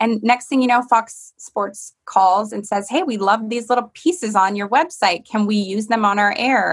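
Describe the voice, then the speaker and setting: Speaking with an American accent, a woman uses a fairly high pitch, ordinary pitch variation and a moderate pace in a somewhat breathy voice. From Michigan. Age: 30s. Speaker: sports TV reporter. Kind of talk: casual interview chat.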